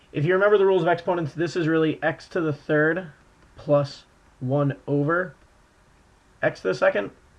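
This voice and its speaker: A man's fairly high voice with ordinary pitch variation and long, frequent pauses. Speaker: math teacher. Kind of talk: tutorial. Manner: fast.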